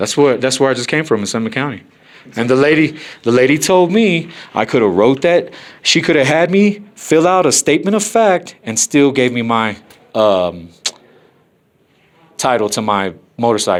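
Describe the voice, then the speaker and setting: Loud and at a medium pitch, a man speaks at a moderate pace with very wide pitch swings and long, frequent pauses. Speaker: first amendment auditor filming officials. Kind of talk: heated argument with officials. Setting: government office.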